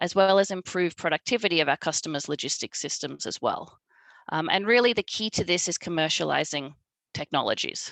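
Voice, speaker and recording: With an Australian accent, a woman talks at a fairly low pitch with ordinary pitch variation, recorded in a dry, close sound with no echo. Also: fairly quick pace, quiet background. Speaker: marketing director at a truck maker. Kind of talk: panel presentation.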